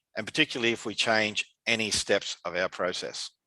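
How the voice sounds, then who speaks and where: With an Australian accent, a man speaks at a moderate pace and medium pitch, his tone bright and sharp, in a dry, close sound with no echo and a quiet background. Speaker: conference speaker on dialysis water treatment. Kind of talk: conference presentation. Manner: hesitant, many fillers.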